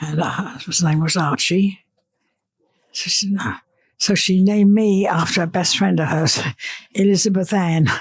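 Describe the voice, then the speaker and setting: Speaking at a moderate pace with long, frequent pauses, a woman uses a medium pitch, a somewhat breathy voice and fairly even intonation. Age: 80s+. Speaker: elderly civilian interviewee. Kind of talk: casual interview.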